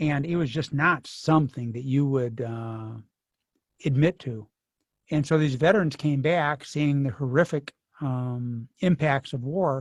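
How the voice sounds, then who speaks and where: A man with a somewhat breathy voice and fairly high pitch speaks at a fairly slow pace with ordinary pitch variation. The background is quiet, and the sound is dry and close with no echo. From US Midwest, Kankakee, Illinois. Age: 60s. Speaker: author. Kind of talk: author talk Q&A. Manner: halting.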